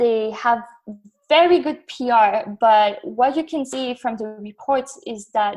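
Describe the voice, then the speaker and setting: Speaking with a French accent, a woman uses a fairly high pitch with ordinary pitch variation. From northern France, near Belgian border. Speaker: graduate researcher on military gender. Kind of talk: podcast interview.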